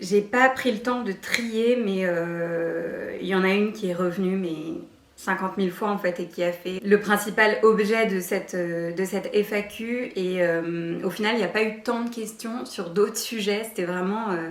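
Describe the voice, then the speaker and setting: Amid noticeable background noise, a woman speaks at a medium pitch with ordinary pitch variation. Her pace is fairly slow, with hardly any pauses. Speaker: lifestyle YouTuber. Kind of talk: casual vlog Q&A. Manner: hesitant, many fillers; trembling voice.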